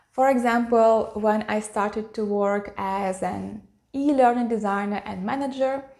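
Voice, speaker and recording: Speaking at a fairly slow pace, a woman with a Russian accent has a fairly high pitch, and the recording is very clean with a silent background. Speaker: YouTuber, e-learning designer. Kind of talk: personal vlog talk.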